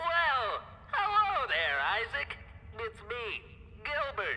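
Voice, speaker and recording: This is a put-on character voice delivered at a very slow pace. Clear background noise can be heard. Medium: video game. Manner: chipper, folksy.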